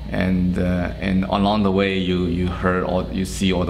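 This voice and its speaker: A man with a very deep, low pitch speaks at a fairly slow pace. The room echo is audible, and the background noise is noticeable. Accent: Chinese. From China, Shanghai. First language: Chinese. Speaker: oral history interviewee. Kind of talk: oral history interview. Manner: hesitant, many fillers.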